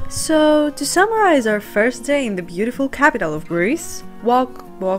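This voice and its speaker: Music plays in the background as a woman speaks at a moderate pace. Her fairly high voice moves through very wide pitch swings. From Greece. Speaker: lifestyle vlogger. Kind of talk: vlog voiceover narration.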